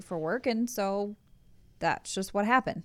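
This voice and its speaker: Over a silent background in a very clean recording, a woman talks at a moderate pace with medium pitch and ordinary pitch variation. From US Midwest, Columbus, Ohio. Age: 30s. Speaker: host's wife. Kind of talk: casual chat. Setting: studio.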